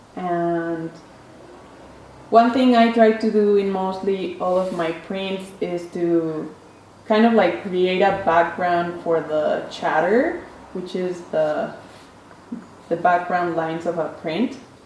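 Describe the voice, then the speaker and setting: A woman with a Spanish accent speaks at a very slow pace and medium pitch, with ordinary pitch variation and long, frequent pauses. Noticeable background noise and audible room echo fill the recording. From Mexico City. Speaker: printmaker artist. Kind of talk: casual artist talk. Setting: print studio.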